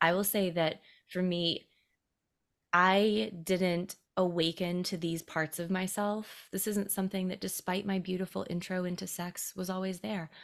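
In a very clean recording with a silent background, a woman uses an ordinary speaking voice with an American accent, medium pitch and fairly even intonation. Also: fairly slow pace. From US South, South Carolina. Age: 30s. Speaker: intimacy educator. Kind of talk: casual chat.

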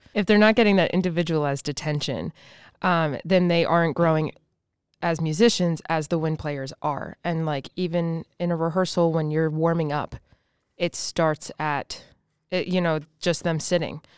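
Here is an ordinary speaking voice with fairly even intonation at a moderate pace. The recording is very clean, with a silent background. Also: woman, fairly low pitch for a woman. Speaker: school band director. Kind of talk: casual interview chat.

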